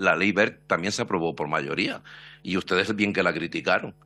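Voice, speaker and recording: A man at a fairly quick pace. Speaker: opposition deputy. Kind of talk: parliamentary speech, pointed questioning of the minister. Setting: parliamentary committee hearing. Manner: sarcastic, combative, fluent. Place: hall. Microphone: podium.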